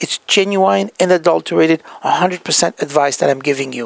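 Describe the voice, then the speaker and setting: In a French accent, a man with fairly high pitch speaks at a fairly quick pace, the sound dry and close with no echo. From France. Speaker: healthcare practice consultant. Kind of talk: motivational talk.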